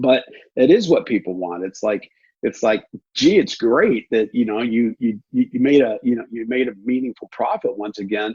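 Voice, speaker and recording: This man talks at a moderate pace, and the sound is dry and close with no echo. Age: 60s. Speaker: real estate investor. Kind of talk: interview. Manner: halting with many repetitions.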